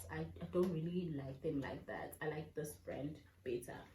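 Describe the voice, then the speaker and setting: Through audible room echo and noticeable background noise, a woman speaks at a moderate pace with lively intonation. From South Africa. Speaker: vlogger. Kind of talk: casual vlog talk to camera. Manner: animated.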